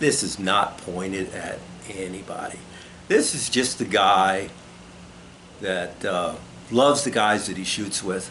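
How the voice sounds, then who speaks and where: Audible room echo surrounds a fairly slow delivery with ordinary pitch variation and long, frequent pauses. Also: man, fairly low pitch for a man. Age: 60s. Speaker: sport shooter and video blogger. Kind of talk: casual monologue to camera. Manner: halting.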